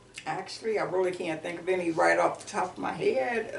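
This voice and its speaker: Audible room echo fills the recording. A woman speaks with an American accent. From Warren, Ohio, US Midwest. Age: 70s. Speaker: oral history interviewee. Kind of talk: oral history interview. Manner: animated.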